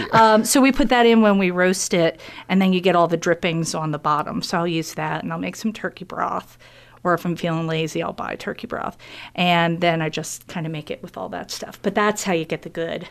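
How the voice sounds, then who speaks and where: This woman has an American accent and a fairly low pitch. She talks at a fairly quick pace with ordinary pitch variation. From Pennsylvania. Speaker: chef and cooking school owner. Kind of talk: casual chat. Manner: animated.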